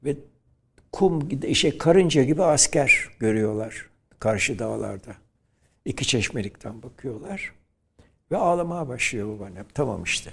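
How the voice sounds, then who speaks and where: Speaking at a fairly slow pace with long, frequent pauses, a man at medium pitch sounds somewhat breathy, with very wide pitch swings and big swings in loudness. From Turkey, Izmir. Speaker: professor and nationalist thinker. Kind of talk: interview. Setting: studio.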